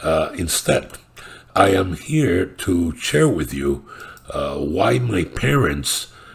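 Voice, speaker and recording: A man talks at a very slow pace while noticeable noise fills the background. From Cuba. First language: Spanish. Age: 70s. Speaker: political commentator. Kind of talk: political monologue. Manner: halting, many fillers.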